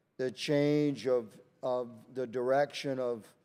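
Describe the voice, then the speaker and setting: A man talks at a very slow pace and a medium pitch. His tone is dark and mellow. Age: 60s. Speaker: congressman, army veteran. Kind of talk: committee hearing questioning. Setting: congressional hearing room. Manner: halting, repeats words.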